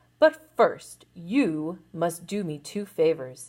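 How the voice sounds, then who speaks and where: A female-sounding, put-on character voice growls at middle pitch, gruff and very slow. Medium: read story. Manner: gruff, growling.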